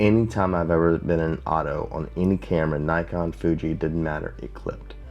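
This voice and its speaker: At a fairly quick pace, a man speaks with a very deep, low pitch. His intonation is lively. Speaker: YouTuber and street photographer. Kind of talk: tutorial.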